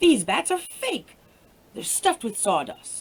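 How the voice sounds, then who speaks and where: A woman speaks in a put-on character voice, pitched high. Her pitch swings very widely at a fairly slow pace. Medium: read story. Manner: calm, reasoning.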